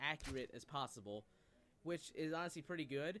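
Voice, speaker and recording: A man speaks at a fairly quick pace. Light background noise sits behind him. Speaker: gaming youtuber. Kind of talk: casual gaming news commentary.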